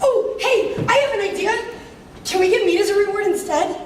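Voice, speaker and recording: Pitched extremely high, a put-on character voice moves at a moderate pace with a clear echo. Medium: stage play. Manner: loud, excitable.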